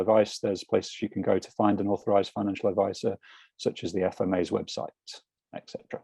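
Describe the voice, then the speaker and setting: In a British accent, a man with a fairly low pitch talks at a very fast pace in a monotone, flat way, the sound dry and close with no echo. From UK. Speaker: financial mentor. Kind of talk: casual interview over video call. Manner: hesitant, many fillers.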